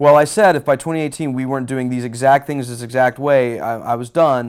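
A man with an American accent speaks at a fairly quick pace in a normal speaking voice, with ordinary pitch variation. The recording is very clean, with a silent background. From Houston, Texas. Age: 30s. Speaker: musician. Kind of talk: interview. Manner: casual.

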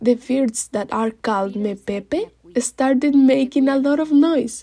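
A woman speaks in a high voice with a dark, mellow tone. She has a Spanish accent. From Mexico City. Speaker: storyteller. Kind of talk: storytelling.

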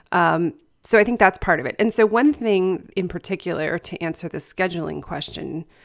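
On a very clean recording with a silent background, a normal speaking voice carries ordinary pitch variation. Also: woman. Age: 40s. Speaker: writing and book coach, podcast host. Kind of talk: casual interview.

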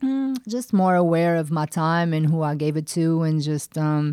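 With a Portuguese accent, a woman speaks in a very deep, low pitch and a dark, mellow tone, recorded with a dry, close sound and no echo. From Portugal. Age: 40s. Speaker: former pro basketball player. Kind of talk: interview.

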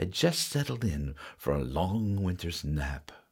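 A man's voice with music in the background. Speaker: storyteller and guitarist, podcast host. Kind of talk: reading aloud a classic Christmas poem, storybook-style narration. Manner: warm, cozy, rhythmic sing-song cadence with gentle animation; playful and jolly, with a hearty 'ho ho ho' at the close.

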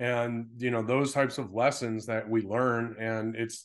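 Here is a man with an unremarkable speaking voice and a medium pitch. He talks at a moderate pace against a quiet background. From Western Massachusetts (Pittsfield). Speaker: entrepreneur, digital marketing agency owner. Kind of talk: interview conversation.

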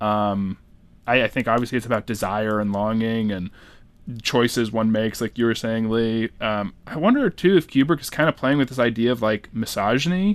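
A man with an unremarkable speaking voice, medium pitch and ordinary pitch variation at a moderate pace, over a quiet background. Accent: American. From New Hampshire, US. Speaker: guest podcast host. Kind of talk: casual chat.

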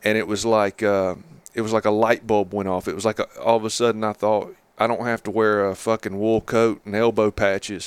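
In a very clean recording with a silent background, a man speaks with an Appalachian accent at a fairly quick pace, his fairly low pitch held in a monotone, flat intonation, the sound dry and close with no echo. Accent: Appalachian Southern US. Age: 30s. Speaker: novelist. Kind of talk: casual chat. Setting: on location during a hunting trip.

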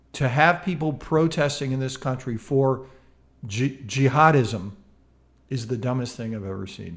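Somewhat breathy and medium in pitch, a man speaks at a moderate pace with big swings in loudness. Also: ordinary pitch variation. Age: 50s. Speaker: mindfulness educator and podcast co-host. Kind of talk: casual chat. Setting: home studio.

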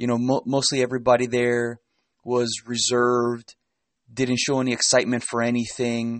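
A man's medium-pitched voice with a Spanish accent. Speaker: self-help podcast host. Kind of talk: solo motivational talk.

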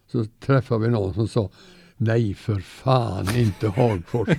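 A dark, mellow, somewhat breathy voice at a very slow pace, with ordinary pitch variation, on a very clean recording with a silent background. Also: man. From Sweden, Gothenburg. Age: 90s. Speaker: retired teacher. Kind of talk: interview.

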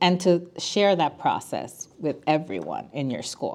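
A woman talks with a Spanish accent at a medium pitch. Her intonation is lively, and the background is quiet. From Puerto Rico. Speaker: attorney and school council parent chair. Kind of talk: podcast interview.

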